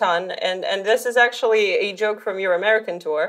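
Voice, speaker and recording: A woman with a non-native accent speaks fairly quickly in a fairly high voice over noticeable background noise. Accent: noticeable non-Russian foreign. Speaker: podcast host. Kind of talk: interview.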